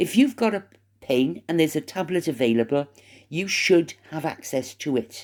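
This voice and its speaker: In a very clean recording with a silent background, a woman with an English accent speaks at a moderate pace, her very deep, low pitch and dark, mellow tone carrying lively intonation. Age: 60s. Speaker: vlogger. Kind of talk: casual monologue.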